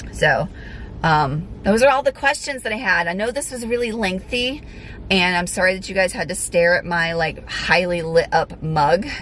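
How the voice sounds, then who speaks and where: Her intonation lively, a woman with an unremarkable speaking voice delivers her words at medium pitch and a moderate pace. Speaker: fitness vlogger and figure competitor. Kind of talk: casual vlog talk to camera. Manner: frequent fillers (um).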